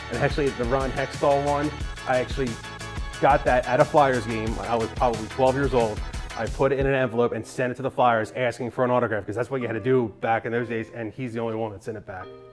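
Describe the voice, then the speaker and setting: Over clear background music, a man speaks at a very fast pace with fairly even intonation. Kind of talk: interview answer, giving a tour. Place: home room.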